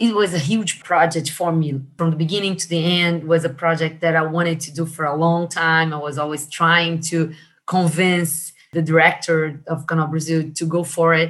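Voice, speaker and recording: This speaker has a Portuguese accent and a monotone, flat intonation. The pace is moderate. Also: woman, fairly low pitch for a woman. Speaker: marketing manager. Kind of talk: interview. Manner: halting.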